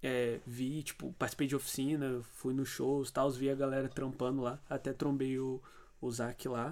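A man talks at a medium pitch, his delivery flat and monotone. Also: moderate pace. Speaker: student radio host. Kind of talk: casual chat.

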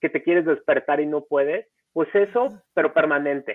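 A man speaks at a moderate pace. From Mexico, Acapulco. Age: 30s. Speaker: foundation founder, surfer with spinal cord injury. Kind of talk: interview, personal story. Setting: live-streamed podcast recording.

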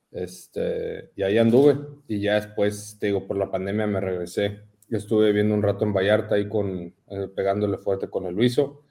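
A man with an ordinary speaking voice talks at a moderate pace in a fairly low pitch, with fairly even intonation and hardly any pauses. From Mexico City. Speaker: CrossFit athlete. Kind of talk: casual chat.

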